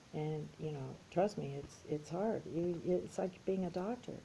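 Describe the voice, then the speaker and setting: Over noticeable background noise, a woman talks at a fairly low pitch with ordinary pitch variation. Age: 60s. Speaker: YouTuber sharing personal adoption story. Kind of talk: personal monologue vlog. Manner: casual, animated.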